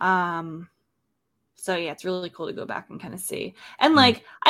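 Speaking at a moderate pace with ordinary pitch variation, a woman is heard in a very clean recording with a silent background. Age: 20s. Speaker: podcast host. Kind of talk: casual chat; news reading.

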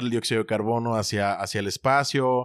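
In a Mexican accent, a man speaks at a moderate pace in a medium pitch with fairly even intonation, the sound dry and close with no echo and the recording very clean against a silent background. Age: 30s. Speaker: podcast co-host. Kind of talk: casual chat.

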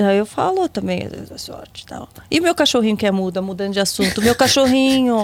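A woman speaks at a fairly high pitch and fairly quick pace, with lively intonation and big swings in loudness. Noticeable background noise runs underneath. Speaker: podcast guest. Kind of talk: casual chat.

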